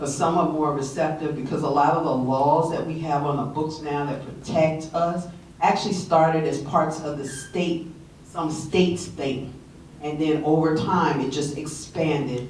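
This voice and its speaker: A woman's very deep, low voice in a flat monotone at a moderate pace, with audible room echo and noticeable background noise. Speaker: audience member, community volunteer. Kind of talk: audience question at symposium.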